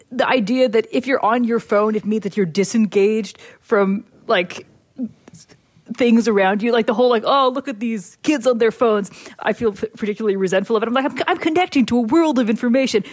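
A woman speaks in an ordinary speaking voice at a fairly quick pace. Her pitch sits fairly high, with ordinary variation. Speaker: columnist guest. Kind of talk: casual chat.

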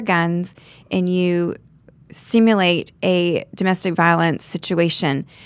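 A woman's fairly low voice with an American accent, in a very clean recording with a silent background. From Florida (Naples). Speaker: real estate agent. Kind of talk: casual interview.

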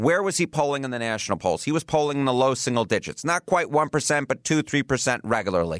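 On a very clean recording with a silent background and a dry, close sound with no echo, a man with an American accent talks at a very fast pace, at medium pitch with ordinary pitch variation. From New York City. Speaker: podcast host. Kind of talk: political discussion podcast.

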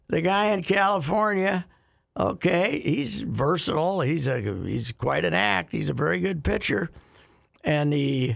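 The voice has vocal fry and very wide pitch swings. Loudness stays very even, and the pace is fairly slow. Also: man, fairly high pitch for a man. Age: 70s. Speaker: radio host. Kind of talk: casual chat.

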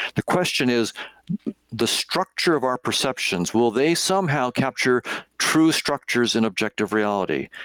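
A man's ordinary speaking voice at a medium pitch, with an American accent, lively intonation, a moderate pace, very even loudness, and dry, close sound with no echo. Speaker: cognitive psychologist and professor. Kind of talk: interview, explaining ideas. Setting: video call.

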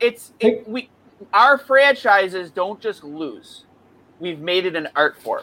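Raising and projecting his voice, a man speaks at a very slow pace and high pitch with a bright, sharp tone and lively intonation. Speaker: hockey podcast host. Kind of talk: casual chat. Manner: loud.

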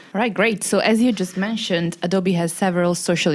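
A woman's fairly low voice at a very fast pace, over noticeable background noise. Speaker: co-host interviewer. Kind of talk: interview.

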